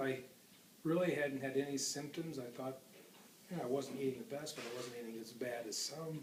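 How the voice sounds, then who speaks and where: A man talks at a fairly quick pace with a fairly high pitch and ordinary pitch variation. He leaves long, frequent pauses, and there is audible room echo. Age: 60s. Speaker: heart surgery patient. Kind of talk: interview. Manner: hesitant.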